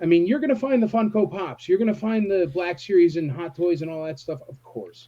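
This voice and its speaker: Fairly quick delivery with lively intonation. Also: man. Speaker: toy convention organizer. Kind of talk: casual chat. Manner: loud; animated.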